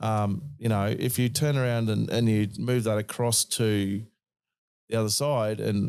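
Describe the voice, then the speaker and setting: Fairly even intonation and an Australian accent come through on a very clean recording with a silent background. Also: man. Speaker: podcast host. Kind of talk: casual chat.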